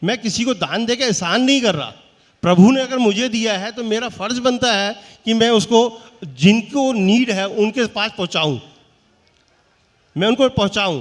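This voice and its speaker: A man's high voice with ordinary pitch variation. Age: 60s. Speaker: businessman, award honoree. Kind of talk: stage interview.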